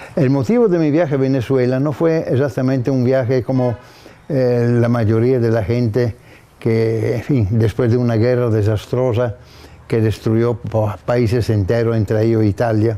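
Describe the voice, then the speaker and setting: A man's dark, mellow voice of medium pitch, with very even loudness, fairly even intonation and a fairly slow pace. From northern Italy (Gorizia). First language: Italian (speaking Spanish). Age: 80s+. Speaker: architect. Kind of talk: interview testimony. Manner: halting.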